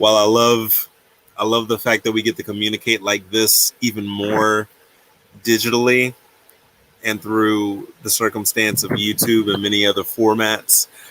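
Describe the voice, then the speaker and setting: With a Virginia accent, a man speaks at a moderate pace and fairly low pitch in a flat monotone, leaving long, frequent pauses, in a dry, close sound with no echo. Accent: own Virginia dialect. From US, Virginia. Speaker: livestream co-host. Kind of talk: casual livestream chat.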